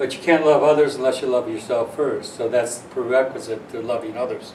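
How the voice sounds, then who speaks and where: Speech comes at a fairly quick pace with fairly even intonation. Noticeable background noise runs underneath. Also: man. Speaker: astrologer, author and radio host. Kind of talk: casual explanatory talk to camera, teaching.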